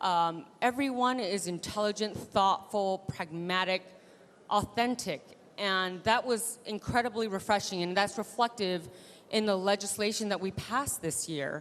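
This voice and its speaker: A woman speaks at a fairly slow pace in a normal speaking voice, her pitch medium with ordinary variation. The background is quiet. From Taiwan-born, raised in US from age 3. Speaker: state legislator. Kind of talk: panel discussion.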